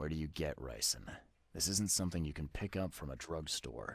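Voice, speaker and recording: A man does a put-on character voice with a very deep, low pitch and ordinary pitch variation. He speaks at a fairly quick pace in a weary tone. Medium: video game. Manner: terse, weary.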